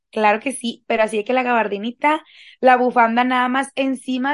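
A woman with a Mexican accent, high in pitch, with fairly even intonation over a quiet background. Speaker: podcast co-host. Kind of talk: casual chat.

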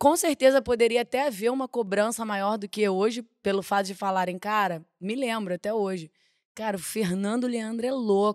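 Recorded very cleanly with a silent background and a dry, close sound with no echo, a woman with a fairly high pitch uses a normal speaking voice at a moderate pace with ordinary pitch variation. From Rio de Janeiro, Boca do Mato. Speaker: samba school flag bearer. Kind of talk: casual chat.

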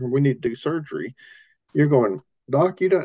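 A man with an Appalachian accent, fairly high in pitch, dark and mellow in tone, at a moderate pace. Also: dry, close sound with no echo. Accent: Appalachian Southern US. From US South, Appalachian Tennessee. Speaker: rural ministry leader, missions strategist. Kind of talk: interview.

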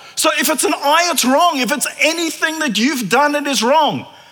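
A man speaks in a raised, projected voice at an extremely high pitch, with ordinary pitch variation. The room echoes audibly, and background noise is noticeable. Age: 40s. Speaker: preacher. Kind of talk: sermon. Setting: church.

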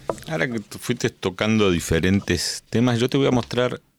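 Fairly low-pitched male voice, lively in its intonation, at a fairly slow pace, with a dry, close sound and no echo. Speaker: podcast host. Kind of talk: casual interview chat. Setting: studio.

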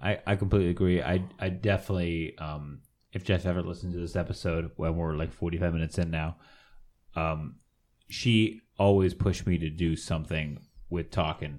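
In a very clean recording with a silent background, a man with an American accent speaks in a very deep, low pitch with fairly even intonation. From San Fernando Valley, California. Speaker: podcast co-host. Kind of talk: casual chat.

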